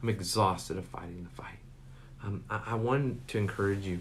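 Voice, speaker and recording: Somewhat breathy, a man speaks fairly quickly with ordinary pitch variation, and room echo is audible. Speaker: pastor. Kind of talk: sermon.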